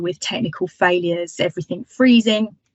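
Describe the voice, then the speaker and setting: In a British accent, a woman speaks at medium pitch and a moderate pace with lively intonation. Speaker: marketing lecturer. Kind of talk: webinar talk. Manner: hesitant, many fillers.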